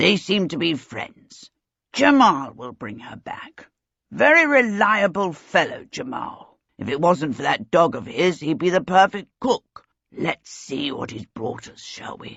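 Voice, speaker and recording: A put-on character voice, raspy and in a middle pitch, moves at a fairly slow pace. Its pitch swings very widely. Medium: read story. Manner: clipped, genial, fatherly.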